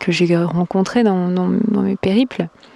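This woman talks fairly slowly. Her voice sounds dry and close, and there is no echo. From France. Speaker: podcaster. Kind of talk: casual monologue. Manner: halting.

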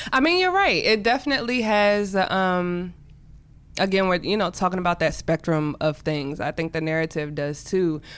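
Using an unremarkable speaking voice with an American accent, a woman speaks at a moderate pace in a medium pitch with ordinary pitch variation. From Washington DC area, Prince George's County, Maryland. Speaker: entrepreneur and artist. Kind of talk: casual interview.

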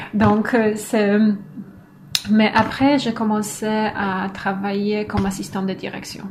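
The speech comes at a very slow pace with long, frequent pauses and a monotone, flat intonation, over noticeable background noise. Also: woman, medium pitch for a woman. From northern Poland. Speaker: philosopher, doctoral researcher. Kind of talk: casual interview. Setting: at home.

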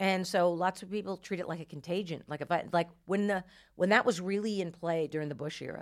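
Using an unremarkable speaking voice, a woman with an American accent talks at a fairly quick pace, her fairly low pitch held in fairly even intonation. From New Jersey. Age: 50s. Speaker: comedian. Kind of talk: casual chat. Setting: studio.

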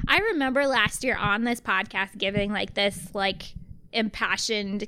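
Her voice sits fairly high in pitch. The woman speaks in an American accent. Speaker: podcast co-host. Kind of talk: casual chat.

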